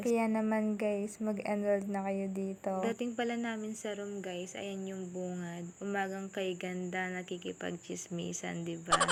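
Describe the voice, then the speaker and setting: Soft-spoken and in a monotone, flat intonation, a woman of medium pitch talks at a fairly slow pace over noticeable background noise. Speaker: student vlogger. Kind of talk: vlog narration.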